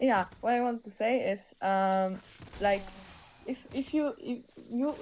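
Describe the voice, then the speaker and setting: A woman with a slight Polish accent. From Poland. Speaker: caller. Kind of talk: heated debate. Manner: halting.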